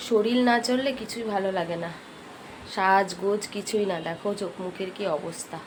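Audible room echo and noticeable background noise surround a woman speaking at a medium pitch with ordinary pitch variation. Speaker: lifestyle vlogger. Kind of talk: casual vlog narration.

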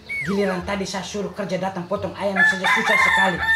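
Background music plays. Over it, a man talks. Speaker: host of the meal in a comedy skit. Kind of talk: scripted comedy dialogue and mock prayer. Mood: mock-pious, teasing complaint. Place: home room. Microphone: camera far.

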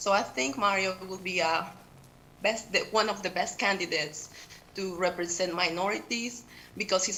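Audible room echo surrounds a medium-pitched woman with a Peruvian accent who speaks at a moderate pace with fairly even intonation. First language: Spanish. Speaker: teacher and public commenter. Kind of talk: public comment at council meeting. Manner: halting.

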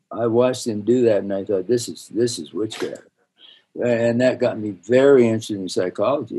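With an American accent, a man talks fairly quickly in a dark, mellow tone, his loudness swinging widely. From US West, northern Utah. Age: 80s. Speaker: dentist and educator; educator. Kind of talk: interview. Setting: video call. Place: office. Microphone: webcam.

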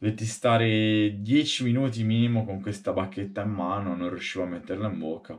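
Hardly pausing, a man talks at a fairly quick pace in a fairly low pitch with ordinary pitch variation. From Tuscany, Marina di Massa; Tuscany. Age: 30s. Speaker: street performer, stilt walker and fire juggler; interviewee. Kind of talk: interview monologue; interview answer. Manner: halting. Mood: amused, storytelling. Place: home room. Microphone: webcam.

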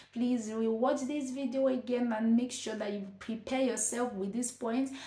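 With a Nigerian accent, a woman speaks at a moderate pace and fairly even intonation in audible room echo. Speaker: vlogger, nurse and midwife. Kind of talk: advice vlog. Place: home room.

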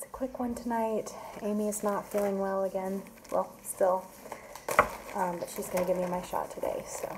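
Over loud background noise, a woman of medium pitch talks at a moderate pace with fairly even intonation and long, frequent pauses. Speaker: vlogger undergoing IVF. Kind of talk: casual vlog. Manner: casual, chatty. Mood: nervous but light. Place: home room. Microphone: phone near.

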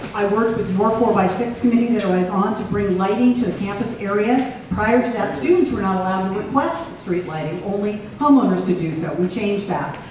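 A woman with an American accent, fairly quick and with hardly any pauses, ordinary pitch variation, strong room echo and noticeable background noise. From US West Coast, San Francisco Peninsula, California. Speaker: mayoral candidate, former city council member. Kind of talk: political debate. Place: classroom.

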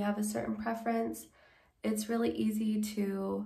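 A woman at a fairly slow pace, with a quiet background and audible room echo. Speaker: wig reviewer. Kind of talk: product review chat. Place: home room.

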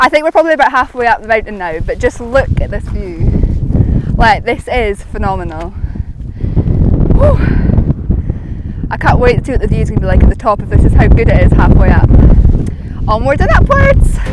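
Heard over loud background noise, a woman speaks with long, frequent pauses in a dry sound with no echo. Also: moderate pace. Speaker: hiker vlogger. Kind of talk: casual vlog chat. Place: open country. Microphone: phone near.

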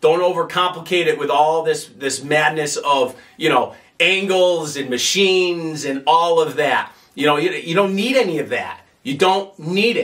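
At a moderate pace, a man talks in a high voice. His pitch varies in an ordinary way. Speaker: fitness coach. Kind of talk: tutorial. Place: gym.

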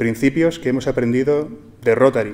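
A man talks at a fairly quick pace with fairly even intonation. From Spain. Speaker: entrepreneur and book author. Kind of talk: formal speech. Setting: stage with audience. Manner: formal. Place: hall. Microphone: podium.

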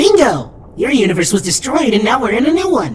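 The speaker talks at a fairly quick pace and fairly high pitch with very wide pitch swings, over clear background noise. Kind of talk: teen-style slang chatter. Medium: machinima. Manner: breezy, casual, offhand; playful, sly.

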